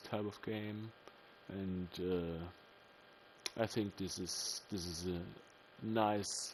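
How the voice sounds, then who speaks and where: Speaking with a German accent, a man talks at a very slow pace. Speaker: gaming video creator. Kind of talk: let's play commentary. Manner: casual, with many fillers.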